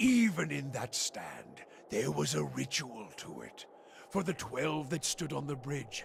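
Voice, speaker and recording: Over clear background noise, a man uses a put-on character voice, solemn in tone and at a fairly slow pace. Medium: game stream. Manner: cryptic, solemn.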